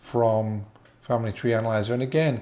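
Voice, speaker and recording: In an English accent, a man speaks at a fairly quick pace with a medium pitch, a dark, mellow tone and fairly even intonation. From England. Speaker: genealogy tutorial presenter. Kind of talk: tutorial. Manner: casual, slightly halting.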